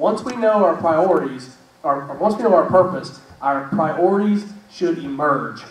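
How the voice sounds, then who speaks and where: A loud, high-pitched man's voice with lively intonation, plus noticeable background noise and audible room echo. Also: moderate pace. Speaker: church show host. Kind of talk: casual faith discussion. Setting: live stream with studio audience. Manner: halting.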